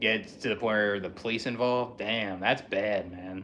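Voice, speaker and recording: Here a man speaks with an American accent at a fairly low pitch. His tone is bright and sharp. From Philadelphia, US. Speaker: livestreamer. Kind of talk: casual livestream chat. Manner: monotone.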